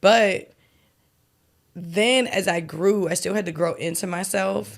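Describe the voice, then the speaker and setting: Very slowly, a woman speaks with vocal fry and a slight Maryland accent. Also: medium pitch for a woman, ordinary pitch variation, very clean recording, silent background. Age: 30s. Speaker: celebrity stylist and costume designer. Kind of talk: casual interview chat. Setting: kitchen table podcast. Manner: casual, filler-heavy.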